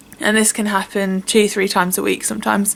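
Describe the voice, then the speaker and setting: Monotone, flat delivery in a British accent over noticeable background noise. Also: woman. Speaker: vlogger. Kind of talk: personal testimony. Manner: halting.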